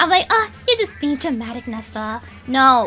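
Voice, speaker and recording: Music plays behind a woman speaking in a raised, projected voice. Her pitch is high and swings very widely. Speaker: streamer and YouTuber. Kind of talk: vent session. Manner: fast; loud, yelling.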